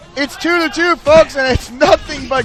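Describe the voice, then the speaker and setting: Crowd noise sounds in the background as a man speaks. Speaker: esports caster. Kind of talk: live commentary. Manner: loud; fast.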